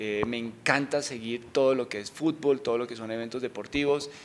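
A man speaks at a fairly quick pace with fairly even intonation. Light background noise sits behind him. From Colombia, Bogotá. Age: 40s. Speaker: bank executive; interviewee. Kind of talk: interview. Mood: relaxed, friendly. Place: office. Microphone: handheld.

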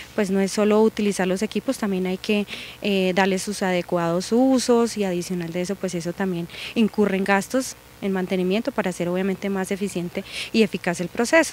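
A woman speaks at a medium pitch and moderate pace with fairly even intonation. The sound is dry with no echo, under light background noise. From Colombia, Los Llanos region; Colombia. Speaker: public utility manager. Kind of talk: interview. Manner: hesitant with fillers. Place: street. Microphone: handheld.

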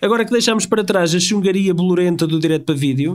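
Ordinary pitch variation runs through delivery that moves at a very fast pace. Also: man. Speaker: podcast co-host. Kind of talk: casual chat.

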